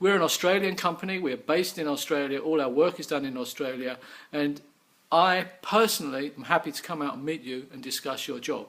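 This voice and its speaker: Speaking at a fairly quick pace with a slight English accent, a man uses a fairly high pitch, ordinary pitch variation and big swings in loudness. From England. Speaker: business owner. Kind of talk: sales pitch.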